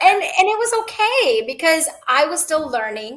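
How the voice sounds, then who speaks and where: Fairly slow speech from a woman, its pitch swinging very widely. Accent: Gujarati. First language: Gujarati. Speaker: author and clinical scientist. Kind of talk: interview.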